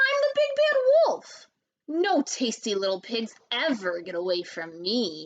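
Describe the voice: Using a put-on character voice, a woman bellows at a fairly high pitch with big pitch swings and a fairly slow pace.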